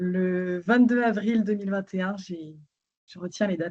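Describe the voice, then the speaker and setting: A woman speaks at a moderate pace in a medium pitch, with a dark, mellow tone. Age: 30s. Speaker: patient sharing testimony. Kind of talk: testimony.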